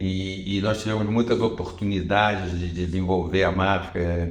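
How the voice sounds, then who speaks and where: A man with a fairly low pitch speaks in a monotone, flat intonation at a moderate pace. Audible room echo and noticeable background noise are present. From Brazil, Rio de Janeiro. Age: 70s. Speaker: retired TV journalist and executive. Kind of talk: interview conversation. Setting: in-person interview in Lisbon. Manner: halting, with repetitions.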